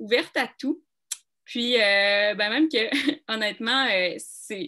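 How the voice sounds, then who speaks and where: A woman in a Quebec accent, fairly high in pitch, with ordinary pitch variation and a very slow pace. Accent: Québécois. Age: 30s. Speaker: coaching client. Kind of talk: testimony.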